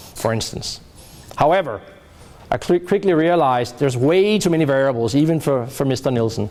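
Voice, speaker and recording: Over noticeable background noise, a man speaks at a fairly quick pace with very wide pitch swings. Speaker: professor. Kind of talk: lecture. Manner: loud.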